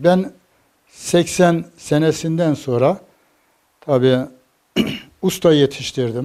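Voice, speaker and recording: Speaking at a very slow pace, the voice has a dark, mellow tone and ordinary pitch variation. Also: man. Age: 70s. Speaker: carpenter. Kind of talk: interview answer.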